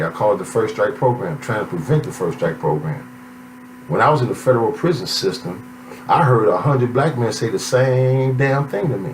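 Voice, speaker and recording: A man at medium pitch talks at a fairly quick clip with lively intonation, over noticeable background noise and audible room echo. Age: 60s. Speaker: author. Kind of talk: self-promotional monologue. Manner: animated.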